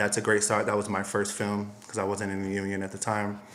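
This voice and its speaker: This man speaks with an American accent and a fairly low pitch. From US, Miami, Florida. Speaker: costume designer and stylist. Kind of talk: interview.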